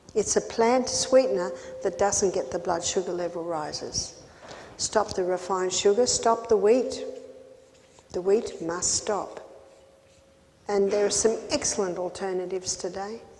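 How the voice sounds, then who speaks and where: With an Australian accent, a woman speaks at medium pitch and a fairly slow pace, using ordinary pitch variation and leaving long, frequent pauses. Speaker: health educator. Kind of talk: health seminar talk.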